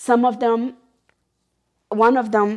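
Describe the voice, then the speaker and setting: In an American accent, a woman speaks at a very slow pace. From Oregon, US. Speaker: charity founder. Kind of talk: interview testimony. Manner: halting.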